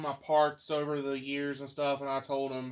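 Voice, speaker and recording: A man with a slight Appalachian accent speaks at a fairly high pitch. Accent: slight Appalachian twang. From West Virginia. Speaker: vacuum collector. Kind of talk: casual chat.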